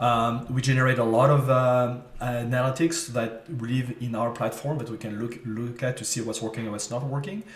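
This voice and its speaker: A man with a slight French accent speaks at a medium pitch and moderate pace, with fairly even intonation and hardly any pauses. Noticeable background noise and audible room echo are present. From France, French Riviera. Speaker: marketing agency CEO. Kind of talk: interview. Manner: hesitant, many fillers.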